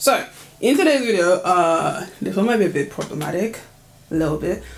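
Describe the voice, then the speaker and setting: Noticeable background noise is present. A woman talks over it. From United Kingdom. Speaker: lifestyle vlogger. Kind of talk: casual talk to camera.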